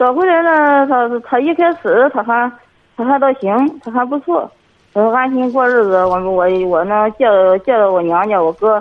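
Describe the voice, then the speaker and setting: A woman speaks at a fairly slow pace in a high-pitched voice. Her intonation is lively. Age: 50s. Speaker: kindergarten teacher, caller. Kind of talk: call-in advice conversation. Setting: phone call.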